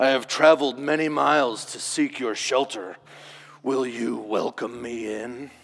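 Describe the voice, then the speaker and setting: A man's put-on character voice, raspy and hissing, with a menacing tone, medium pitch and moderate pace. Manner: hissing, menacing.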